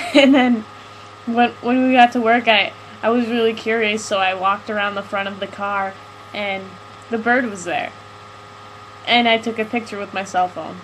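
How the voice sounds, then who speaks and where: Soft-spoken and mumbling, a woman with a fairly high pitch talks at a moderate pace with fairly even intonation. Long, frequent pauses break up her speech, and there is noticeable background noise. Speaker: live stream host. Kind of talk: casual chat. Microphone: mic turned all the way up, still quiet.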